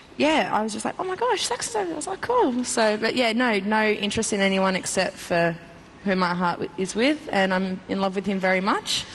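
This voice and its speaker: Noticeable background noise runs under this clip. A woman speaks at a fairly quick pace. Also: medium pitch for a woman, ordinary pitch variation. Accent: Australian. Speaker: reality show contestant. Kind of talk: TV interview. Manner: loud.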